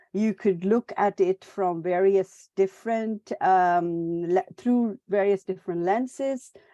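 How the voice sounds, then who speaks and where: A very slow woman's voice with a dark, mellow tone against a quiet background. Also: medium pitch for a woman, ordinary pitch variation. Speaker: academic in library and information science. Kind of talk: webinar presentation. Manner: halting, many fillers.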